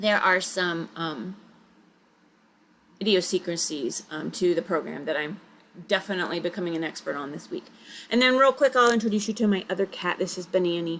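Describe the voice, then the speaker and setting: A woman with a medium pitch talks at a fairly quick pace with lively intonation, though she leaves long, frequent pauses. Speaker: writing teacher. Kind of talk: recorded lecture. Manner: fast.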